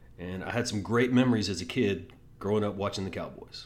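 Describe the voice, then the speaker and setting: A man with an American accent speaks at a fairly low pitch and a fairly quick pace. Audible room echo surrounds his voice. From Texas. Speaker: sports podcast host. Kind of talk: casual sports talk monologue. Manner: animated.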